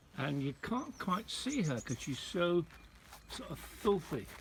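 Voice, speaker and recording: Slowly, at a fairly slow pace, a man talks. His pitch swings very widely. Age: 80s+. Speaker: writer and broadcaster. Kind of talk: casual talk to camera. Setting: outdoors.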